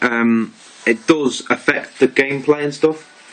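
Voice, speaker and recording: A man at a fairly slow pace with fairly even intonation, music in the background. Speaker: gaming youtuber. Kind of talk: video review and gameplay demo. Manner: halting, stumbling over words.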